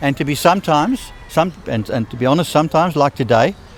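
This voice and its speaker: Noticeable background noise sits behind this recording. A man talks at a fairly quick pace. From South Africa. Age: 70s. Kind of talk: street interview answer. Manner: blunt; warm, determined.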